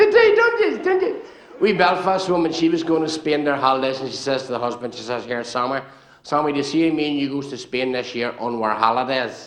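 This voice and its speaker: With a Northern Irish accent, a man with a fairly high pitch talks at a fairly quick pace amid noticeable background noise and audible room echo. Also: ordinary pitch variation. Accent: Northern Irish (Ulster). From Northern Ireland, Banbridge, County Down. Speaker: comedian. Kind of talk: stand-up. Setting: stage with audience. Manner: animated.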